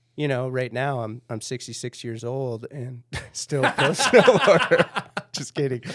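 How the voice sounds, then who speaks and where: A man with an American accent and an ordinary speaking voice, at a fairly slow pace, with fairly even intonation and big swings in loudness. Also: medium pitch for a man. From Minnesota. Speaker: pro snowboarder. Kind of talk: podcast interview.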